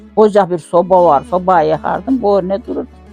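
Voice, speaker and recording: With music playing behind her, a woman talks fairly slowly. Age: 80s+. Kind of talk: life story interview.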